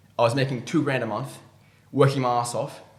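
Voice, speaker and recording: There is audible room echo around the voice. A man speaks at a medium pitch. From Australia. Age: 20s. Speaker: ecommerce entrepreneur. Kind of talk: interview. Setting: in-person studio interview. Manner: halting.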